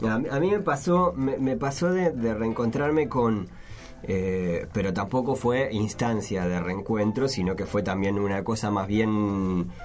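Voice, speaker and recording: With a Uruguayan accent, a man speaks fairly slowly at a fairly low pitch and with lively intonation. His loudness is very even, and audible room echo is present. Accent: Rioplatense Spanish (Uruguayan). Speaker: podcast host. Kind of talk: casual chat. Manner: halting, frequent repetitions.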